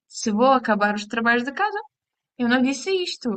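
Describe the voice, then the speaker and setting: A woman speaks with a Ukrainian accent. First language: Ukrainian (speaking Portuguese). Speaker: language teacher. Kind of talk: lesson. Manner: halting.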